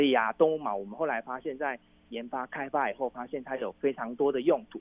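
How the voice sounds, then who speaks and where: With a Taiwanese accent, a man talks at a very fast pace. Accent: Taiwanese Mandarin. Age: 40s. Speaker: entrepreneur. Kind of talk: interview.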